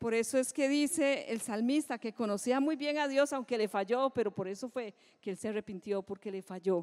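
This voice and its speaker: A woman with a plain, everyday voice talks at a moderate pace and a fairly high pitch. Her intonation is lively, and the sound is dry and close with no echo. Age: 60s. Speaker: pastor. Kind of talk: sermon.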